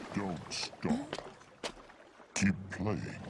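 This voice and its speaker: Against clear background noise, a man performs in a put-on character voice. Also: fairly low pitch for a man. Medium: fan dub. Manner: slow, flat, bored-sounding.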